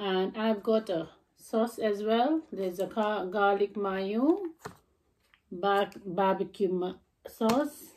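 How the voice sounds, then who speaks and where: A woman speaks at a very slow pace, her pitch varying in an ordinary way. Her tone is dark and mellow, with light background noise. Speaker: mukbang vlogger. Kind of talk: casual vlog chat. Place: home room. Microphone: phone near.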